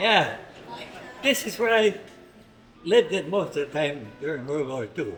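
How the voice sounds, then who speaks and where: A high-pitched man with very wide pitch swings and long, frequent pauses, music in the background. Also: moderate pace. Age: 80s+. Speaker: war veteran. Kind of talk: interview answer.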